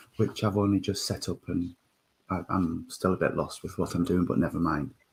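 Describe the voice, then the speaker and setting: A man's somewhat breathy voice. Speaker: spiritualist service leader. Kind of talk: online church service welcome.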